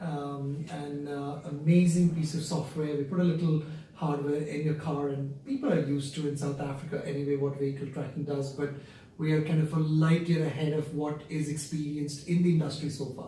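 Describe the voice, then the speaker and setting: Amid noticeable background noise and audible room echo, a man with an Indian accent speaks at a fairly quick pace in a fairly high, monotone voice with flat intonation. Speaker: company founder and CEO. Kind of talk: interview.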